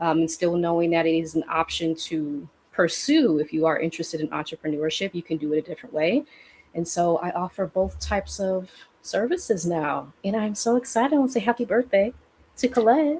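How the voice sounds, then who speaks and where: A woman talks at a fairly quick pace with lively intonation and a fairly low pitch. It is an ordinary speaking voice. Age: 30s. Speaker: healing practitioner and coach. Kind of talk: casual conversation on a livestream. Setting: livestream.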